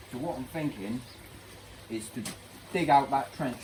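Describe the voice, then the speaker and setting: A man speaks at a fairly quick pace with a medium pitch. His intonation stays fairly even over noticeable background noise. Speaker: DIY pond keeper vlogger. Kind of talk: DIY vlog. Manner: casual, thinking aloud.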